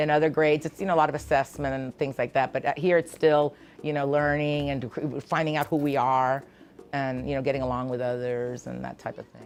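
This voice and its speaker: The delivery moves at a fairly quick pace. A Spanish accent colors the speech. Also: woman, very deep, low pitch for a woman, big swings in loudness. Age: 60s. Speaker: preschool teacher. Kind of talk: interview. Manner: animated.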